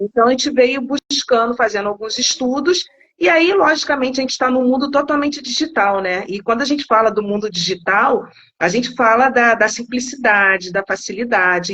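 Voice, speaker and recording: The speech has lively intonation and a moderate pace. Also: woman. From Rio de Janeiro, Brazil. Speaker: insurance company product specialist. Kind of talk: live-stream interview. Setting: online live stream.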